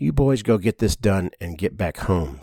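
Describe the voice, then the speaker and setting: Using a raspy put-on character voice, a man talks at a moderate pace with a very deep, low pitch and lively intonation, in a dry, close sound with no echo. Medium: read story. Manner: measured, serious.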